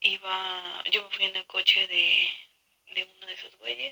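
The sound is close and dry, without any echo. A woman speaks fairly slowly. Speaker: listener sending a story. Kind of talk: recorded voice message story.

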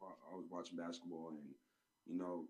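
Ordinary pitch variation and a moderate pace mark this man's speech in a New York accent. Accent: New York (Harlem). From Harlem, New York. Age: 20s. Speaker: podcast host. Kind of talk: casual chat about basketball. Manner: animated, laughs often.

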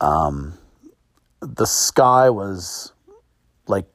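A man speaks in an American accent, his pitch swinging very widely. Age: 40s. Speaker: podcast host. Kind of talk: casual monologue, personal storytelling. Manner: many fillers and repetitions.

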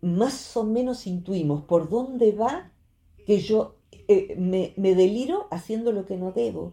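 A woman's dark, mellow tone with lively intonation at a very slow pace. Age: 60s. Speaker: psychologist. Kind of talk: radio talk segment explaining psychology.

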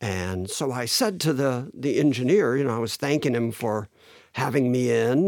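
A man with an American accent speaks in a plain, everyday voice at medium pitch, with lively intonation and a dry, close sound with no echo. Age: 60s. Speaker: musician. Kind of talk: casual chat.

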